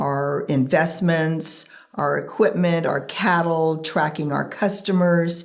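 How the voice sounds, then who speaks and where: A woman with an American accent speaks at a very slow pace in a very deep, low pitch. Her intonation is fairly even, and there is noticeable background noise. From Northern California, Central Valley. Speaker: ranch administrator. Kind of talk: interview.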